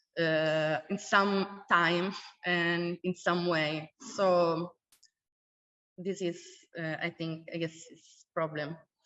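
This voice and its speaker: With an Italian accent, a woman talks at a very slow pace in a fairly low pitch, her intonation monotone and flat, her loudness swinging widely, and her speech broken by long, frequent pauses. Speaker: academic panelist. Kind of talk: panel discussion. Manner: halting, many fillers.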